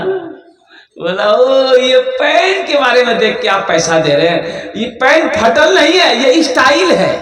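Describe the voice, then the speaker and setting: A man's energetic voice at an extremely high pitch, with very wide pitch swings and noticeable background noise. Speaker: Islamic preacher. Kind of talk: Islamic sermon to a live audience (takrir). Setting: public gathering with PA system. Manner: energetic, humorous, storytelling.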